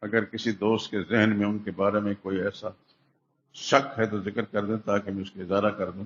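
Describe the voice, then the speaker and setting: A man's fairly low pitch in a monotone, flat intonation. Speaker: Islamic scholar, Quran commentator giving a Friday sermon. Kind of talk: Friday sermon (khutbah) delivered in a mosque. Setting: mosque.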